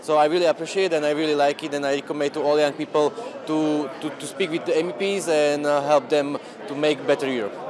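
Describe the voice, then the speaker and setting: A man at a very fast pace with a Slovak accent, over noticeable background noise. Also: fairly high pitch for a man, fairly even intonation. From Slovakia. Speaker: youth delegate. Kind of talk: interview.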